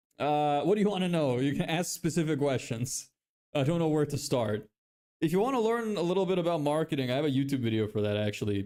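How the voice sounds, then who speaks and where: A man with a Lithuanian accent, fairly high in pitch, with a dark, mellow tone, lively intonation, very even loudness and a very fast pace. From Ireland. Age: 20s. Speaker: live streamer building an online business. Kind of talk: casual live-stream chat.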